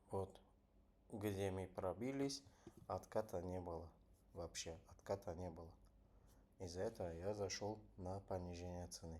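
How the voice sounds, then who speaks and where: With a non-native accent, a man of very deep, low pitch and a dark, mellow tone talks at a fairly slow pace with ordinary pitch variation and long, frequent pauses. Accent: non-native Russian. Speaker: trader. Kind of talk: live trading tutorial. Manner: halting.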